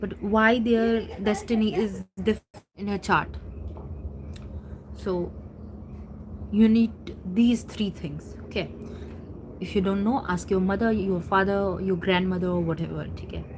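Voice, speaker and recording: Fairly slow and somewhat breathy, the speech has fairly even intonation and long, frequent pauses. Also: woman, medium pitch for a woman. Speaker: astrology enthusiast YouTuber. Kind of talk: casual tutorial. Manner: halting, many fillers.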